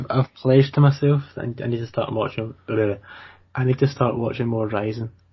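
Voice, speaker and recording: A somewhat breathy voice at a fairly quick pace, fairly even in intonation but with big swings in loudness. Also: man, medium pitch for a man. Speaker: podcast co-host. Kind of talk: casual chat. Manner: fast.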